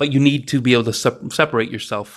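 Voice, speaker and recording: The background remains quiet as a man speaks. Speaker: podcast host. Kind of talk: solo monologue. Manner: unscripted, off the cuff.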